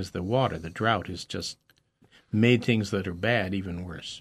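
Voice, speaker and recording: Over a quiet background, a man with a normal speaking voice talks at a moderate pace, his pitch fairly low with ordinary variation. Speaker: radio host. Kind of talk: radio interview. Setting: radio studio.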